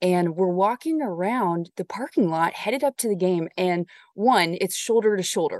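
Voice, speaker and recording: A woman with an American accent talks at a moderate pace and medium pitch with lively intonation, the sound dry and close with no echo. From Southern California. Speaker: sports anchor and reporter. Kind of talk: casual interview.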